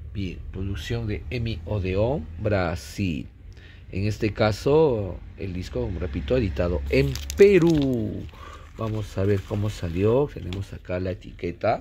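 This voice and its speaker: A man speaks at a very slow pace and a very deep, low pitch with very wide pitch swings, over light background noise. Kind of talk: casual collection showcase commentary. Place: home room. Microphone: phone near.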